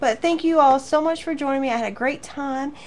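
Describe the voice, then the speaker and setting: Using a warm tone, a woman speaks in a high pitch with fairly even intonation. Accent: Southern US. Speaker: craft teacher. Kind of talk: live online class wrap-up chat. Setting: live stream to viewers. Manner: warm, chatty.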